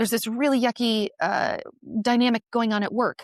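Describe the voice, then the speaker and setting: A woman with an unremarkable speaking voice talks at a fairly high pitch and moderate pace. The recording is very clean and silent behind her, with a dry, close sound and no echo. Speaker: nurse. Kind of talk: podcast interview. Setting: podcast conversation.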